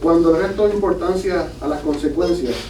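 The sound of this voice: In a room with audible echo, a man talks at a moderate pace with a fairly high pitch and ordinary pitch variation.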